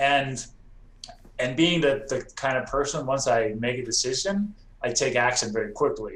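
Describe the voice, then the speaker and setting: Amid audible room echo, a man speaks at a medium pitch and moderate pace with ordinary pitch variation. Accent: American. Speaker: real estate investor. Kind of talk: podcast interview.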